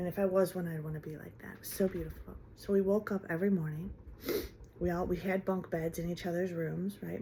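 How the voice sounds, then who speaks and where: A woman's fairly quick, somewhat breathy voice in an American accent, fairly low in pitch, with a dark, mellow tone and fairly even intonation. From Ohio, US. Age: 50s. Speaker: vlogger. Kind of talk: personal vlog monologue. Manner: halting, with fillers and restarts.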